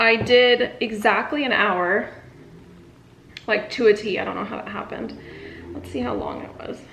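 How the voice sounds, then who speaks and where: Her voice is fairly high, with lively intonation at a moderate pace. Audible room echo surrounds the woman speaking. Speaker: interior designer vlogger. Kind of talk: casual vlog. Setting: outdoors on a walk. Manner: casual, filler-heavy.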